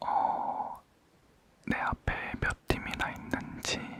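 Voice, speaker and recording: Whispering at a very slow pace, a man is heard against noticeable background noise. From Korea. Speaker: ASMR creator. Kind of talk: casual chat ASMR. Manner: calm, relaxed.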